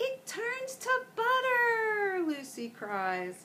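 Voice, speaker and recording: A put-on character voice, raised and projected, makes very wide pitch swings. Clear background noise is heard behind it. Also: woman. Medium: read story.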